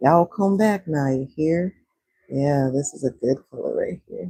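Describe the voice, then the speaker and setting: A woman speaks somewhat breathily and fairly slowly. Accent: American. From Texas, Houston. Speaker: livestreamer. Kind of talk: casual livestream chat while drawing. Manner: casual, chatty.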